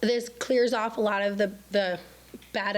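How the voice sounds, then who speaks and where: A woman is speaking. Audible room echo can be heard. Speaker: state legislator. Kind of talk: public forum update. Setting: city council chambers. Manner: halting.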